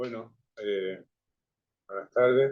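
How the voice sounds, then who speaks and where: A man at a very slow pace, fairly low in pitch. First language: not Spanish (speaking Spanish). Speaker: translator. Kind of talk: discussion comment. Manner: halting.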